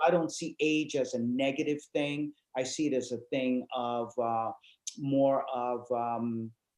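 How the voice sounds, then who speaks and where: A man at medium pitch, fairly slow in pace, with fairly even intonation. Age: 60s. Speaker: psychologist. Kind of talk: casual interview chat. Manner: halting, many fillers.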